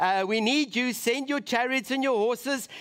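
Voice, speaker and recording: A man with a South African accent speaks at an extremely high pitch. His pace is moderate and his pitch varies in an ordinary way. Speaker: preacher. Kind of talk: sermon. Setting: church.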